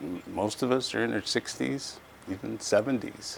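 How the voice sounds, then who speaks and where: A man's voice over noticeable background noise. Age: 60s. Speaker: volunteer firefighter. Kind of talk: interview.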